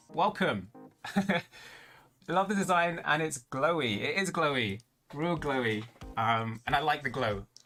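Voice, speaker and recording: In a British accent, a man with a fairly high, bright, sharp voice speaks fairly slowly. His pitch swings very widely. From London. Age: 20s. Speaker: VTuber streamer. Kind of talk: casual livestream chat. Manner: casual, hesitant with many fillers.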